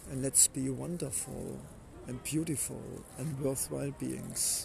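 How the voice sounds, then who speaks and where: Speaking in a German accent, a man keeps a fairly slow pace. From Germany. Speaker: inspirational podcaster. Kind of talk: motivational monologue.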